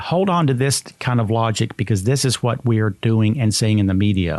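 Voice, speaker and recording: Here a man speaks with an American accent at a moderate pace. His pitch is medium. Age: 60s. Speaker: podcast host. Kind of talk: podcast monologue. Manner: earnest, emphatic.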